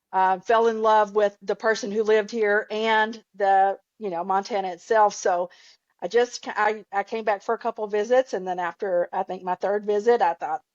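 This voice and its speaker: Speaking in a Southern US accent, a woman talks at a moderate pace with a medium pitch and fairly even intonation. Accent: Southern twang. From Ozarks, Arkansas. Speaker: podcast guest, archer, cancer survivor. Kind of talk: casual interview chat.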